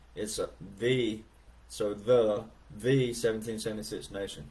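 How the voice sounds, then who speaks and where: A man speaks with a strong Southern US accent. The room echo is audible. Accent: deep Southern drawl. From US South (Alabama). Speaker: livestreamer, veteran. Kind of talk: casual livestream chat reading comments. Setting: live video stream. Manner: halting, many fillers.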